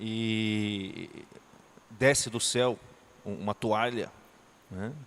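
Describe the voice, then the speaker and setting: Talking at a very slow pace, a man keeps a medium pitch and fairly even intonation. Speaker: teacher. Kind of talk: lecture.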